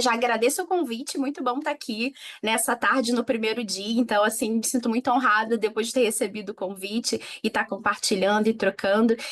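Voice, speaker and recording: At a fairly quick pace, a woman speaks in a Rio de Janeiro accent at a fairly high pitch. Her loudness stays very even, and her pitch varies in an ordinary way. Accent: Rio de Janeiro (carioca). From Rio de Janeiro, Brazil. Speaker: innovation manager, panel speaker. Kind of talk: conference panel talk.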